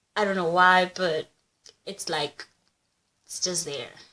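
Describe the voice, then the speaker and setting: With a Kenyan accent, a woman talks. Her pace is moderate. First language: Kikuyu. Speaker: YouTuber. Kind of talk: casual vlog, language examples. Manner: casual, animated.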